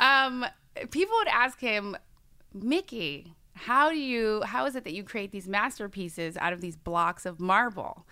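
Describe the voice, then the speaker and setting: With an American accent, a woman speaks at a fairly slow pace in a bright, sharp tone and fairly high pitch, her intonation lively and her loudness swinging widely. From New York State. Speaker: hypnotherapist. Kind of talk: casual chat.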